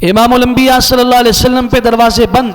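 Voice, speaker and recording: A man's voice, pitched extremely high, comes through noticeable background noise. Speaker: Islamic scholar and mufti. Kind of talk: Islamic sermon (bayan) delivered to an audience.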